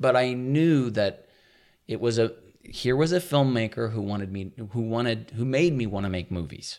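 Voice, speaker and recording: On a very clean recording with a silent background, a man with a medium pitch talks at a fairly quick pace. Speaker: filmmaker. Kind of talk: casual chat. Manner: fast talker.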